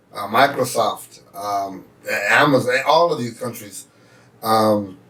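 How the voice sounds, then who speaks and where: At a very slow pace, a man speaks at a medium pitch with ordinary pitch variation and big swings in loudness, against noticeable background noise. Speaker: podcast host. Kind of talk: casual chat.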